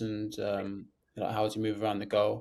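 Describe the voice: Speaking at a moderate pace, a man with a fairly low pitch has a slightly mellow tone.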